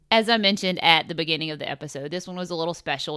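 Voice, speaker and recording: In a very clean recording with a silent background, a woman with a Southern US accent speaks at a very fast pace, her tone bright and sharp and her pitch varying in an ordinary way. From US South, upstate South Carolina. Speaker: podcast host, golf coach. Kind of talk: scripted intro and outro; casual interview. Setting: in person at golf complex.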